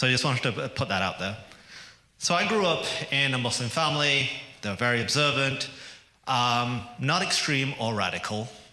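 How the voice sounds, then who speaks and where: A man with a British accent speaks at a fairly quick pace in a medium pitch, with ordinary pitch variation and long, frequent pauses. Noticeable background noise and audible room echo fill the recording. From England. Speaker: activist speaker. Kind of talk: public speech. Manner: conversational, with jokes and hesitations.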